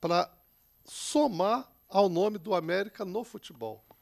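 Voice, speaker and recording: A man speaks at a high pitch in a quiet background. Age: 50s. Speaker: samba school president; radio guest. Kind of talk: casual chat. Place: studio. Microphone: handheld.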